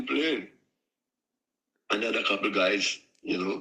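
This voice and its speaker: With a Trinidadian accent, a man speaks at a moderate pace in a bright, sharp tone. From Trinidad and Tobago. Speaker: steelpan musician and tuner. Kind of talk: interview. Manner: halting.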